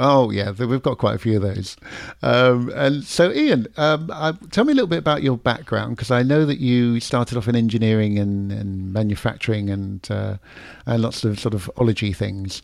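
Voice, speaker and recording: The speaker has a London accent and a moderate pace. Pitch variation is ordinary. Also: man, medium pitch for a man. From London, England. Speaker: podcast host. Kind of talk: casual interview. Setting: video call, remote guest.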